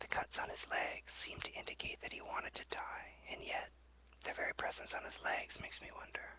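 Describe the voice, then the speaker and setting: Someone whispers over noticeable background noise. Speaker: ASMR creator. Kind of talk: ASMR journal reading. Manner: whispered.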